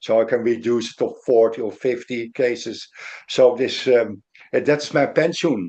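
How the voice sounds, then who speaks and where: A man's medium-pitched voice with a Dutch accent, a dark, mellow tone, ordinary pitch variation, and a moderate pace. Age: 60s. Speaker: lawyer. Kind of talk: interview. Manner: halting.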